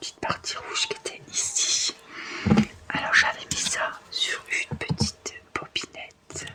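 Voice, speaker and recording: The speaker whispers at a fairly slow pace in a gentle, relaxed tone. Noticeable background noise runs underneath. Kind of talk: ASMR cross-stitch relaxation video, casual talk to camera. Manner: soft, gentle, relaxed.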